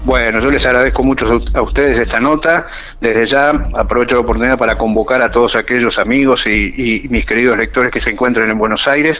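Words come at a very fast pace with very even loudness and fairly even intonation, over noticeable background noise. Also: man, medium pitch for a man. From Argentina, Rosario (Santa Fe). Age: 60s. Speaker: writer and retired biologist. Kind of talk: radio interview.

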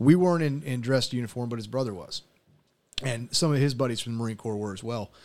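Talking at a very fast pace, a man with a medium pitch uses ordinary pitch variation while his loudness swings widely. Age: 40s. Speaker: military veteran podcast host. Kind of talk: casual chat.

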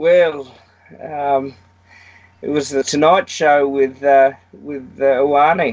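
Speaking very slowly with an Australian accent, a man keeps his fairly high pitch on fairly even intonation. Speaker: rugby pundit. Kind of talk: casual chat.

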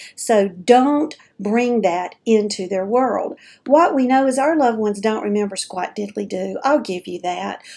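Lively intonation marks this woman's fairly high voice, which has a dark, mellow tone. She speaks at a fairly slow pace in a very clean recording with a silent background. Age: 50s. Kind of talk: casual monologue. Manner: chatty, informal.

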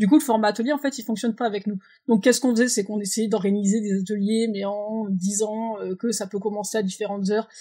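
A woman talks at a very fast pace in a fairly high, somewhat breathy voice with a dark, mellow tone and fairly even intonation, on a very clean recording with a silent background. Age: 20s. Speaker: president of a holiday camp organisation. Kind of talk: interview.

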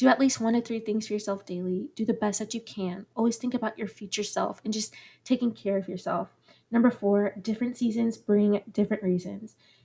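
A woman's dark, mellow voice, somewhat breathy, at a moderate pace with fairly even intonation. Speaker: podcast host. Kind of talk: motivational podcast monologue.

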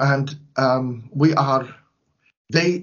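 A man speaks in a somewhat breathy voice of medium pitch. Its pitch varies in an ordinary way. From Syria. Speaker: priest and charity director. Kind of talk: interview.

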